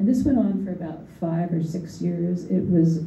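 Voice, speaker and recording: A woman with an American accent speaks in a fairly low voice, with noticeable background noise and audible room echo. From US Northeast, Philadelphia. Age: 70s. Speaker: artist and art educator. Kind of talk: panel discussion. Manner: halting, with many fillers and repetitions.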